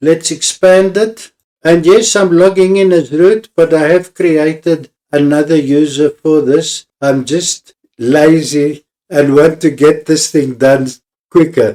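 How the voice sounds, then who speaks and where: Very slow in pace, a man talks with a dark, mellow tone, a fairly high pitch, ordinary pitch variation and very even loudness. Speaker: tech tutorial maker. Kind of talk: tutorial.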